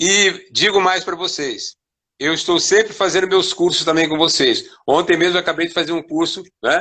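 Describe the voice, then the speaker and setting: Bright and sharp in tone, a man's high-pitched voice holds a fairly even intonation. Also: moderate pace. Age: 70s. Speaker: capoeira master. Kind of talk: interview. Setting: online live stream.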